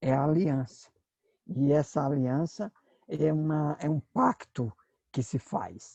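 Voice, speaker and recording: In a dry, close recording with no echo, a man with a fairly high pitch and a dark, mellow tone speaks at a very slow pace with lively intonation and long, frequent pauses. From Brazil, Northeast. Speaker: pastor and Bible teacher. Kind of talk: lecture. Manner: hesitant, with filler sounds.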